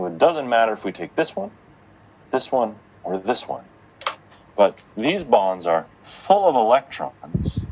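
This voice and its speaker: A man's voice with very wide pitch swings. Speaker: chemistry lecturer. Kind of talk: lecture.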